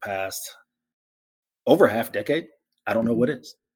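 Quietly, a man puts on a strained character voice at medium pitch. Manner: quiet, restrained.

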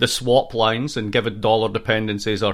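With a slight Scottish accent, a man speaks fairly quickly in a fairly low pitch and a monotone, flat delivery, on a very clean recording with a silent background. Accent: Scottish-American, Scottish tinge. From Scotland. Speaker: political science professor. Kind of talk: interview.

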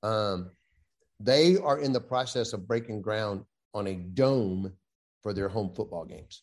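Over a quiet background, a speaker with a Southern US accent talks at a fairly slow pace with long, frequent pauses, big swings in loudness and ordinary pitch variation. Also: man, fairly low pitch for a man. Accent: Southern US (Georgia). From US South, West Central Georgia. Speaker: Navy veteran, sports official and golfer. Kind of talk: casual chat.

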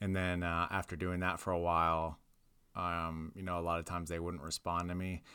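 A man speaks with an American accent at a fairly quick pace. His pitch is very deep and low. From Ohio and Florida (Tampa area). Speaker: comedian. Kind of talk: casual chat.

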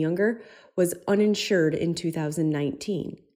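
The recording is very clean, with a silent background. A woman speaks in a dark, mellow tone. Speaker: optometrist and practice owner. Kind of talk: reading aloud.

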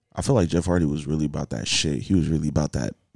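A man talks at a very fast pace in an American accent. His pitch is very deep and low, with vocal fry. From Southern California, Nigerian American family. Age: 20s. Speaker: podcast guest. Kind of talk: casual chat.

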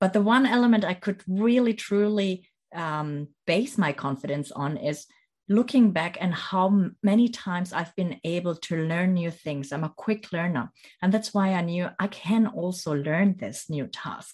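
A woman's somewhat breathy, medium-pitched voice, fairly slow with lively intonation. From Germany, near Stuttgart. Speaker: leadership coach. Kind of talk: interview.

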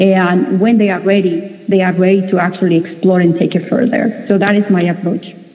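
Hardly pausing, a woman speaks at a medium pitch with fairly even intonation and very even loudness over noticeable background noise. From Mexico. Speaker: talent management consultant. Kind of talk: panel discussion.

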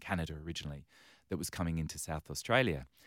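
A very clean recording with a silent background, in an English accent. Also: man. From London, England. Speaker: charity chief executive. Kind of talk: interview.

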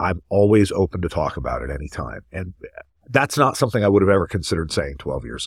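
Talking at a very fast pace, a man uses vocal fry while his pitch makes very wide swings. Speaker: podcast host and pediatric ENT surgeon. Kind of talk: moderated professional discussion.

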